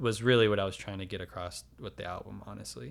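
Fairly low in pitch, a man with an American accent is heard in a very clean recording with a silent background. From US West Coast, San Diego. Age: 20s. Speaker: singer-songwriter and student. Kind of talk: casual interview. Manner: halting, many fillers.

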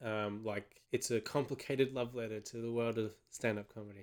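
With an Australian accent, the speaker's pitch rises and falls an ordinary amount. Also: man. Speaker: film podcast co-host. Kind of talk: casual chat.

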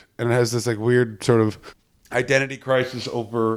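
On a very clean recording with a silent background, a man with an Ottawa Valley accent speaks at a fairly quick pace in a medium pitch, his tone animated. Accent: Canadian, Ottawa Valley. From Ottawa, Canada. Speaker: stand-up comedian. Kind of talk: casual chat. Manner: animated, swears a lot.

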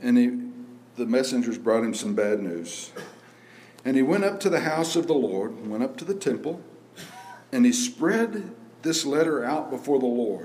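A man's fairly high voice at a moderate pace, with very wide pitch swings, long, frequent pauses, and noticeable background noise. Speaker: pastor. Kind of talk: sermon; fervent prayer. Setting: church. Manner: earnest, pleading; conversational, with repetition and fillers.

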